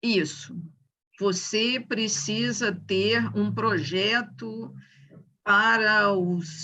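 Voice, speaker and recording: The woman's voice has a bright, sharp tone. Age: 60s. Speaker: psychiatrist, discussion group participant. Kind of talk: group discussion. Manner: halting.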